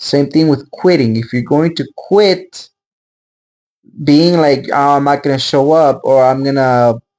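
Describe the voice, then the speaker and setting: A non-native accent at a moderate pace. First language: not English. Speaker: video creator. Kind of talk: casual monologue. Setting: pre-recorded solo video. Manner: halting.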